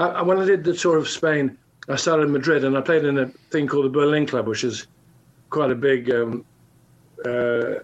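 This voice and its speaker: A man at a fairly high pitch and fairly quick pace, with ordinary pitch variation and long, frequent pauses. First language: French. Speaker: singer-songwriter. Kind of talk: interview. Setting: video call.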